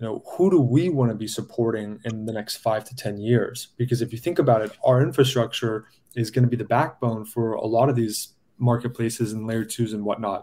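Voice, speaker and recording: With an American accent and a dark, mellow tone, a man speaks fairly quickly at a medium pitch with ordinary pitch variation. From US West Coast, San Diego. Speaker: blockchain project founder. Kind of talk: interview on a crypto livestream.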